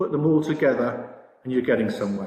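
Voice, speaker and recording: Speaking at a fairly quick pace, a man with a dark, mellow tone sounds somewhat breathy against audible room echo. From Britain. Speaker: sportsbook products director. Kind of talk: conference presentation. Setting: virtual expo presentation. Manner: hesitant, many fillers.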